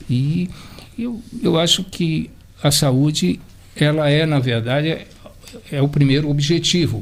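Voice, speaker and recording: Over noticeable background noise, a man with a fairly high pitch talks at a very slow pace with lively intonation. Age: 70s. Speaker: marathon runner. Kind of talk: radio round-table discussion. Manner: halting.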